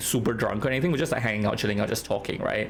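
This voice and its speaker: Noticeable background noise and audible room echo surround a man's voice. His pitch sits in the medium range, with fairly even intonation. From Singapore. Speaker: game streamer. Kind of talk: casual chat, storytelling on stream. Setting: live stream. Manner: casual, many fillers.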